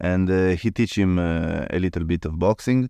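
Against a quiet background, a man with an Italian accent speaks at a moderate pace in a very deep, low pitch, the sound dry and close with no echo. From Italy. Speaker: martial arts gym owner. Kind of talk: interview. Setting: on location in a gym in Italy. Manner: halting, many fillers.

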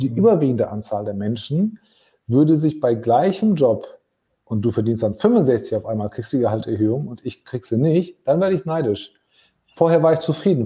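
A man's dark, mellow, somewhat breathy voice, fairly quick, with very wide pitch swings, on a very clean recording with a silent background. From Germany. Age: 40s. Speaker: podcast host, business leader. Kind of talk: casual chat. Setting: LinkedIn live stream.

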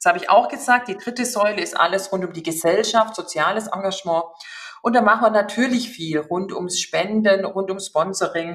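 A woman speaks at a moderate pace in a medium pitch with ordinary pitch variation. She has a slight Swabian accent. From Upper Swabia, southern Germany. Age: 40s. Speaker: HR executive. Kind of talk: interview.

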